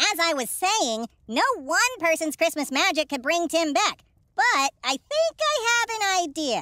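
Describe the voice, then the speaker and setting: This is a put-on character voice that sounds female. The pitch is extremely high for a woman. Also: moderate pace. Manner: upbeat, brisk, wry.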